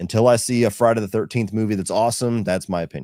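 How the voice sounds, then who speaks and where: Someone talks at a very fast pace in an American accent. The recording is very clean, with a silent background and a dry, close sound with no echo. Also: man. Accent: northern US, slight Southern twang. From US Midwest, Ohio. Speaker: film reviewer and YouTuber. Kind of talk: live Q&A stream. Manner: casual, many fillers.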